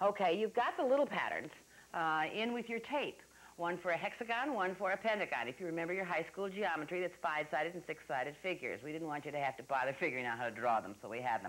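A woman's fairly low voice at a very fast pace, with very wide pitch swings. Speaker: TV craft show host. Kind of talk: tutorial. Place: studio. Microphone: lapel.

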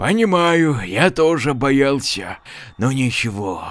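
A put-on character voice at a fairly slow pace. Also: man. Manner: feverish, pleading, unhinged.

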